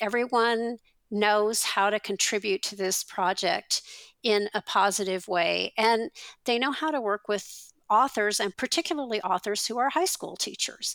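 Recorded very cleanly against a silent background with a dry, close sound and no echo, a woman uses a normal speaking voice at a fairly high pitch, speaking at a fairly slow pace with ordinary pitch variation. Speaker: teacher and textbook author. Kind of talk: interview.

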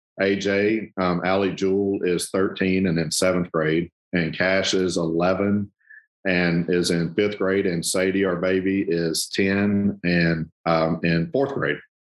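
Against a quiet background, a man with a Southern US accent speaks very slowly in a very deep, low pitch, keeping his intonation fairly even and his loudness very even. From US South, southern Arkansas. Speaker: ministry regional director. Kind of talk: casual interview.

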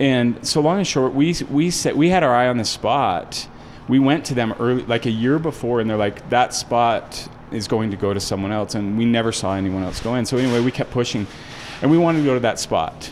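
A man with a medium pitch talks at a fairly quick pace, with ordinary pitch variation. Noticeable background noise is present. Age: 40s. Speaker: restaurant founder. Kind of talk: casual interview chat.

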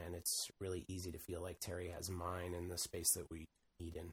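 A man's somewhat breathy voice at a moderate pace. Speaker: video game developer. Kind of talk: casual chat.

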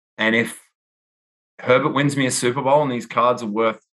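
Speaking at a fairly quick pace, a man with an Australian accent uses a medium pitch and ordinary pitch variation. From Perth, Western Australia. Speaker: sports card collector. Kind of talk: casual interview chat.

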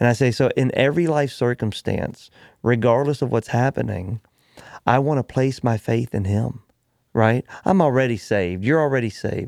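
In a dry, close sound with no echo and a quiet background, a man with an unremarkable speaking voice talks at a moderate pace, his medium pitch showing ordinary variation. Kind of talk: casual conversation about faith.

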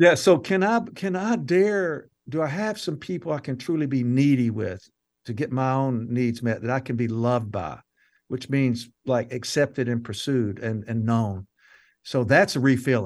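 A man talks with an American accent at a moderate pace and medium pitch. It is a normal speaking voice, and the background is quiet. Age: 60s. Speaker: counselor and author. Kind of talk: casual interview.

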